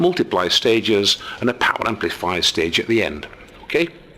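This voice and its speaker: A man with a British accent, medium-pitched and very fast, over noticeable background noise. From England. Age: 60s. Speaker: amateur radio hobbyist. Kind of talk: tutorial. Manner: casual.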